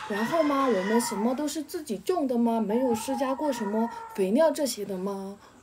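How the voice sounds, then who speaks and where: Over noticeable background noise, a woman speaks at a moderate pace with lively intonation and a fairly high pitch. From Xishuangbanna, Yunnan (Dai village); Yunnan. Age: 20s. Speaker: villager; local villager host. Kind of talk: casual chat.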